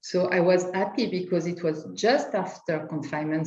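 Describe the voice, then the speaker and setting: In a room with audible echo, a woman speaks at a fairly slow pace with fairly even intonation. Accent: French. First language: French. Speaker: lawyer. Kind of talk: panel discussion. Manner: halting.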